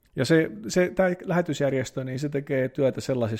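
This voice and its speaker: In a normal speaking voice, a man talks at a moderate pace with lively intonation. The recording is very clean, with a silent background. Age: 30s. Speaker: priest and podcaster. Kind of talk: casual solo podcast monologue.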